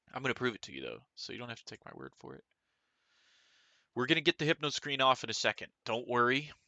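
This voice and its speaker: Using lively intonation, a man with a medium pitch speaks with vocal fry. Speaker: gaming streamer. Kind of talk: casual live stream chat. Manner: casual, filler-heavy; mumbling. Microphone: too quiet.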